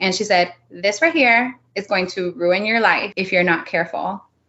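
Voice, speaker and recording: With a Miami accent, a woman speaks using ordinary pitch variation. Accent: Miami American English. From Miami, Florida. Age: 30s. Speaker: real estate investor. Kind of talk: interview. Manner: casual, filler-heavy.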